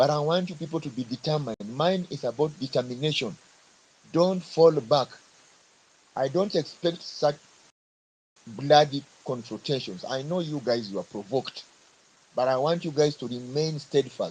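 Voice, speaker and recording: A man's fairly high, somewhat breathy voice with long, frequent pauses. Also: ordinary pitch variation, moderate pace. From Kenya. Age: 50s. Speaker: government worker speaking in a live audio forum. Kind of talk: speech to a live audio forum.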